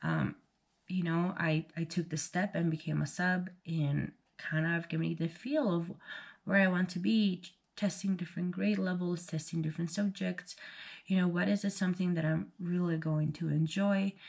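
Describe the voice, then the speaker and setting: A somewhat breathy woman's voice, fairly low in pitch, on a very clean recording with a silent background. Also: fairly even intonation, moderate pace. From Bolivia. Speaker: vlogger, military spouse. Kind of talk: casual vlog chat. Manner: casual, hesitant with fillers.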